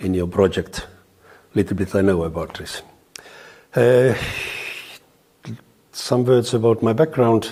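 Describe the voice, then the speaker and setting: A man with an Estonian accent speaks at a fairly slow pace, with long, frequent pauses. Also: medium pitch for a man, ordinary pitch variation. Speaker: lawyer. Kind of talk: interview testimony. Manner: hesitant, halting.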